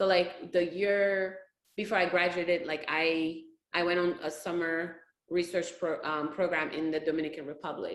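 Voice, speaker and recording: In a room with audible echo, a woman speaks at a moderate pace with a fairly low pitch and monotone, flat intonation. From Senegal, West Africa. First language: not English. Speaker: physician. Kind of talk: interview.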